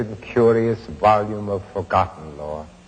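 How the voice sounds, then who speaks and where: A man with an American accent at a fairly slow pace, against noticeable background noise. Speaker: actor. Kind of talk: poetry reading. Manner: dark, melancholic, hypnotic.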